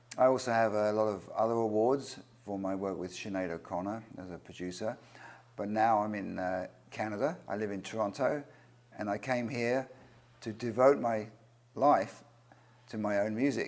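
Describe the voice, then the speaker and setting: Speaking with an English accent, a man with a fairly low voice and ordinary pitch variation leaves long, frequent pauses. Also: moderate pace. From England. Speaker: record producer, singer-songwriter. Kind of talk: interview. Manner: hesitant, many fillers.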